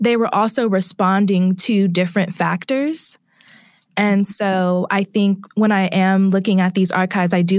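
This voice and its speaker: A woman speaks with an American accent and a normal speaking voice. Her intonation stays fairly even. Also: very clean recording, silent background. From California, Bay Area. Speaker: PhD student in literature. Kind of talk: interview.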